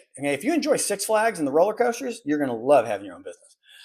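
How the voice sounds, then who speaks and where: A man speaks in a high pitch with an animated tone and very wide pitch swings. The recording is very clean, with a silent background. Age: 50s. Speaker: midlife lifestyle podcaster. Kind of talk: casual monologue to camera.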